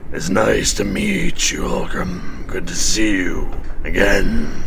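A man talks in a put-on character voice at a fairly slow pace over loud background noise. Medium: actual play.

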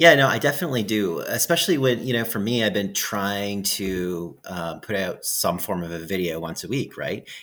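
In a plain, everyday voice, the speaker talks at a moderate pace with lively intonation and hardly any pauses. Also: man, fairly low pitch for a man. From Alberta, Canada. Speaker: outdoors YouTuber. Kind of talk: casual chat.

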